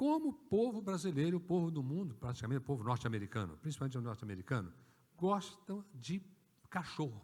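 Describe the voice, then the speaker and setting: A man speaks very fast at a fairly high pitch, his voice somewhat breathy. His pitch swings very widely. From rural Brazil. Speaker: pastor. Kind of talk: sermon. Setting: church. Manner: animated.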